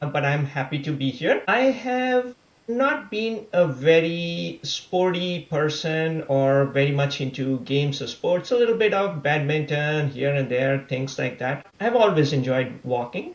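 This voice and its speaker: A fairly high-pitched, somewhat breathy man at a fairly slow pace, with lively intonation and hardly any pauses. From India. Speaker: amateur runner. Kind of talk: podcast interview.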